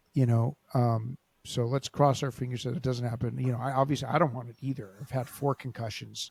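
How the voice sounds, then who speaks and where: Fairly quick and with hardly any pauses, the somewhat breathy voice stays monotone and flat in a very clean recording that sounds dry and close with no echo over a silent background. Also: man, medium pitch for a man. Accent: Californian. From Los Angeles. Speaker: podcast host and grappling coach. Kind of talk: interview. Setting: podcast.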